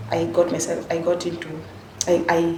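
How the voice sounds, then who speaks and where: Speech at a moderate pace comes through with noticeable background noise and audible room echo. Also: woman. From western Kenya. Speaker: vlogger. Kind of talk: personal storytelling. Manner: halting.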